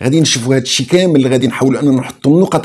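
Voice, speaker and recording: A man's voice with ordinary pitch variation. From Morocco. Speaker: online show host; channel host. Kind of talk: political commentary. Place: home room.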